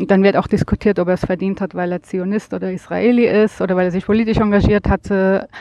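A woman talks at a moderate pace, her voice at a medium pitch. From Germany. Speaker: visitor, friend of host. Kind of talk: interview. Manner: hesitant, many filler sounds.

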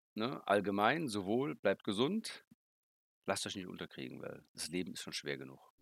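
With vocal fry and a fairly low pitch, a man speaks at a moderate pace, his voice making very wide pitch swings and big swings in loudness. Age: 50s. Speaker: board game designer. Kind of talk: interview.

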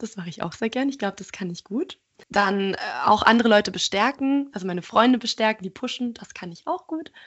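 Fairly high in pitch, a woman with an unremarkable speaking voice talks at a fairly quick pace, her intonation lively and her loudness swinging widely. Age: 20s. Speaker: art student and podcaster. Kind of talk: interview.

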